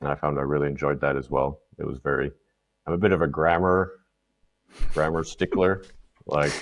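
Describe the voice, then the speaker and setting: A man with a Canadian accent and a very deep, low pitch, vocal fry, fairly even intonation, a moderate pace and long, frequent pauses. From Canada. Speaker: content marketer. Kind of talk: casual interview chat.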